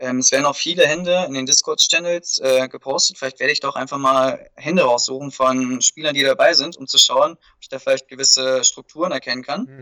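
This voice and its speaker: The speaker is a man moving at a fairly quick pace. His loudness rises and falls sharply. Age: 20s. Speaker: amateur poker player, event participant. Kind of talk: interview.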